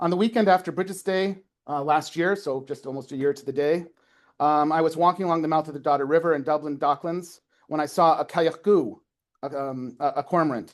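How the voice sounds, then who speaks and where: In a Canadian Maritime accent, a man speaks at a fairly quick pace with fairly high pitch. His pitch varies in an ordinary way, and the background is quiet. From Canada, Prince Edward Island. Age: 40s. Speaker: folklore lecturer. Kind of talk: academic talk, reading aloud a prepared piece. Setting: lecture with live audience. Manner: fast; hesitant with fillers.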